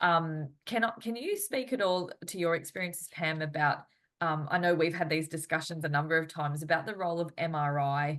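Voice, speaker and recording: A woman speaks at a fairly quick pace with an Australian accent. Her pitch varies in an ordinary way. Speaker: physiotherapist and interviewer. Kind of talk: interview. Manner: halting.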